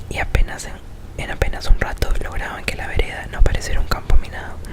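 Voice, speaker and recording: A woman whispers over noticeable background noise. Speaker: ASMR creator. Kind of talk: short story reading. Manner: whispered.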